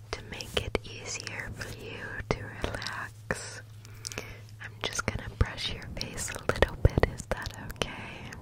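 Over loud background noise, a woman talks at a fairly slow pace with long, frequent pauses, and the sound is dry with no echo. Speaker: ASMR creator. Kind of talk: soft-spoken ASMR roleplay. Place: home room. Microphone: studio mic.

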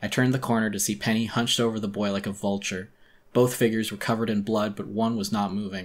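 Fairly even intonation in plain reading aloud

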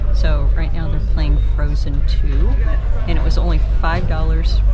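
Loud music plays in the background. The speech moves at a moderate pace. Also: woman. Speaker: travel vlogger. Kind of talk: casual vlog chat. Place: boat. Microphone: phone near.

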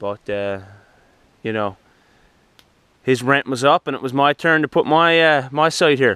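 A man speaks at a fairly slow pace and medium pitch, his tone clear, smooth, bright and sharp, with fairly even intonation.

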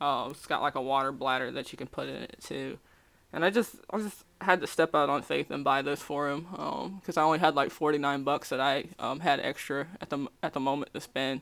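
A woman's very deep, low voice with vocal fry. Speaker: vlogger. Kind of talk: casual talk to camera. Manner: hesitant, many filler words. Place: home room. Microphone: webcam.

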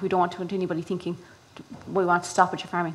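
A woman of medium pitch with a Kerry accent. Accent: Kerry Irish. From Ireland, County Kerry; Ireland. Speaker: rural development project manager. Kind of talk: presentation to farmers. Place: hall.

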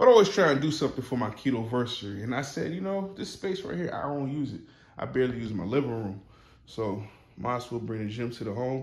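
A man at a very fast pace, somewhat breathy, with audible room echo. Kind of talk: casual vlog chat. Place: home room. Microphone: phone near.

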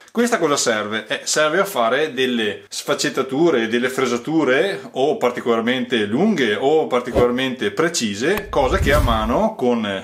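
The man's intonation is lively, and his pace is moderate. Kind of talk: tutorial. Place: garage.

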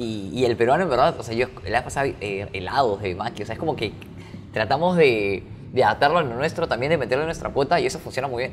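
Over noticeable background noise, a man talks very fast at a medium pitch with lively intonation. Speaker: podcast host. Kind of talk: casual interview chat.

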